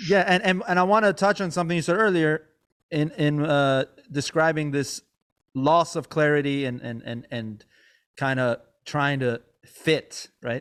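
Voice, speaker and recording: A man speaks in an unremarkable speaking voice, fairly high in pitch, with ordinary pitch variation and a moderate pace. The recording is very clean, with a silent background. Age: 30s. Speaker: podcast host and comedian; music teacher. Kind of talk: casual chat.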